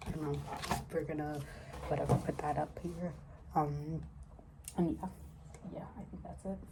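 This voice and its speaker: Soft-spoken, a woman talks with big swings in loudness and long, frequent pauses, amid noticeable background noise and audible room echo. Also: moderate pace. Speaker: novelist vlogger. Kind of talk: casual vlog. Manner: soft-spoken, quiet; halting, many fillers.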